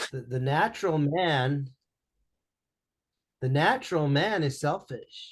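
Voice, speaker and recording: A somewhat breathy man's voice, fairly high in pitch, at a very slow pace with long, frequent pauses, ordinary pitch variation, and a quiet background. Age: 60s. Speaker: business coach. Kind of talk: interview. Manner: animated.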